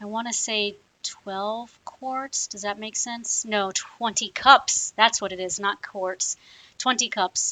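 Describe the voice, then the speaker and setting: A woman talks at a very slow pace with a fairly high pitch, fairly even intonation and big swings in loudness. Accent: American. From US South, South Louisiana (Cajun). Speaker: cooking video host. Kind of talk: cooking tutorial. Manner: casual, hesitant with many fillers.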